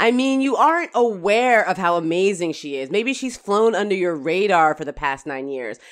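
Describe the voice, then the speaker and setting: The delivery is animated, with very wide pitch swings at a moderate pace. The recording is very clean with a silent background. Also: woman, medium pitch for a woman. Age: 40s. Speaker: legal journalist and podcast co-host. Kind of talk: casual chat.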